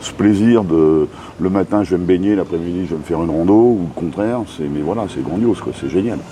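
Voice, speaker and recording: With noticeable background noise behind him, a man with a very deep, low pitch speaks at a fairly quick pace with ordinary pitch variation. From France, Brittany (Rennes). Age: 60s. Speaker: expat bar owner. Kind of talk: interview.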